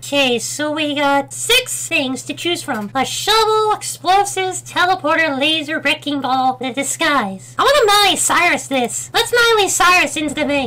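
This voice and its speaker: Pitched high, this put-on character voice moves at a moderate pace with hardly any pauses. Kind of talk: lets-play commentary. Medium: virtual streamer. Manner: excited, chatty, casual.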